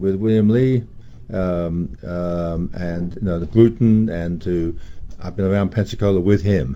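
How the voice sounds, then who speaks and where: A man's fairly low, dark, mellow voice with a southeast English accent, at a fairly slow pace. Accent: British, southeast English. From southeast England, London. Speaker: music photographer. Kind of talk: radio interview. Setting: radio studio. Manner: hesitant, many fillers and repeats.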